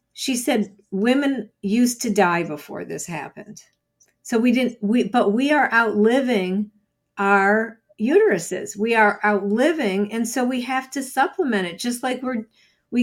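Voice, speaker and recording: Heard on a very clean recording with a silent background, a woman with a plain, everyday voice speaks at a fairly slow pace with ordinary pitch variation. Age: 60s. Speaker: psychology professor and sex therapist. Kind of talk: interview.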